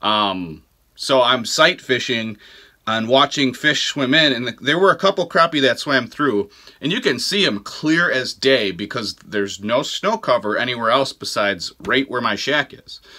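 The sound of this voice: A man with a bright, sharp tone and medium pitch speaks at a fairly slow pace, his intonation lively.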